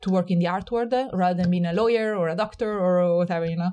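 With an Italian accent, a woman talks very fast in a medium-pitched, dark and mellow tone, her intonation fairly even against a quiet background. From Italy. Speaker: gallery director. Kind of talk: interview. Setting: at home. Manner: fast talker; cheerful, smiling.

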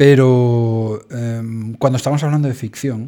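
Delivered at a moderate pace, the voice has a dark, mellow tone and fairly even intonation. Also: man. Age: 40s. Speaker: theatre school director. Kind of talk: interview.

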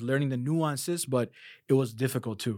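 A man with a Chicago accent, ordinary pitch variation, and a very clean recording over a silent background. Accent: Chicago American English. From US Midwest, Chicago. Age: 30s. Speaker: Quran teacher. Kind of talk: casual interview.

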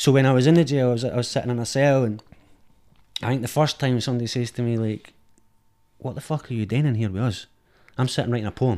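A man with a Scottish accent speaks very fast at medium pitch in a dark, mellow tone, with ordinary pitch variation and long, frequent pauses. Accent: Scottish, Edinburgh. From Edinburgh, Scotland. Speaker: film director. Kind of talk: casual chat.

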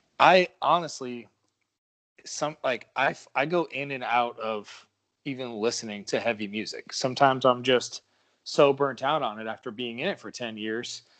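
A man with an ordinary speaking voice, medium pitch and ordinary pitch variation, at a moderate pace, with big swings in loudness and a quiet background. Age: 30s. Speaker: rock band vocalist and songwriter. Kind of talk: casual interview chat.

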